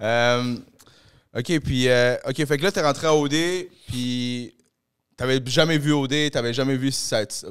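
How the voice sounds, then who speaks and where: In a Quebec accent, a man speaks at a very slow pace with long, frequent pauses. His medium pitch shows ordinary variation against a quiet background. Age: 30s. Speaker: podcast host. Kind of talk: casual chat. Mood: relaxed, joking. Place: studio. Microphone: handheld.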